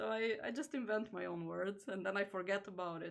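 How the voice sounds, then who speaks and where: The speaker is a woman whose pitch sits in the medium range. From Slovenia, near the Italian border. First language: Slovenian. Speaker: crafter and plush maker. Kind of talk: casual live stream chat while sewing. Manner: relaxed, with many fillers.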